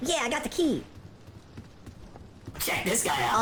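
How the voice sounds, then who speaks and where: A fairly high-pitched put-on character voice goes at a moderate pace over clear background noise. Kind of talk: game character voice-over. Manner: upbeat, excited.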